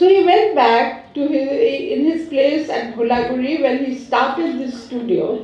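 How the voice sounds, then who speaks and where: A woman speaks in a high voice with lively intonation. Noticeable background noise and audible room echo fill the recording. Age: 80s+. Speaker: invited speaker, university mentor. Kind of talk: conference speech.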